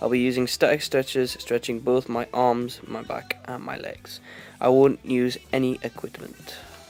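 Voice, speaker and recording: A man at medium pitch speaks in a monotone, flat intonation at a moderate pace. His loudness swings widely as music plays in the background. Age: 18. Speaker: fitness student. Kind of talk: reading aloud. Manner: halting.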